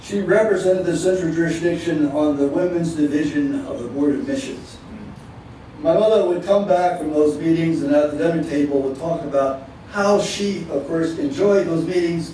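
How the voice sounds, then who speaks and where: A man's high-pitched voice at a moderate pace, with ordinary pitch variation, audible room echo and noticeable background noise. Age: 70s. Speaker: retired Methodist minister and panelist. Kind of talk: panel talk. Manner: halting, many repetitions.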